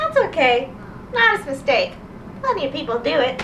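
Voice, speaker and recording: A squeaky, female-sounding put-on character voice is heard. It goes at a moderate pace over clear background noise. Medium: read story. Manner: calm, matter-of-fact.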